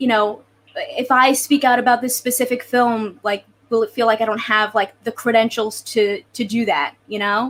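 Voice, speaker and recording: Fairly even intonation at a moderate pace. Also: woman, fairly high pitch for a woman. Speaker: podcast host. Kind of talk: casual panel discussion. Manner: hesitant, many fillers.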